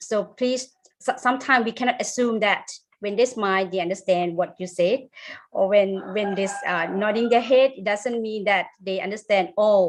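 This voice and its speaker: A woman's medium-pitched voice with a Thai accent. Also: ordinary pitch variation, moderate pace. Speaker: English teacher. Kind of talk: webinar discussion. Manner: hesitant.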